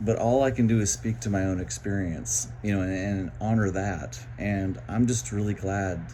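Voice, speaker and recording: At a moderate pace with hardly any pauses, a man speaks with a very deep, low pitch, a dark, mellow tone, very wide pitch swings and a somewhat breathy quality, with audible room echo. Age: 60s. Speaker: vlogger sharing mental health experience. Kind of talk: personal monologue. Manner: halting.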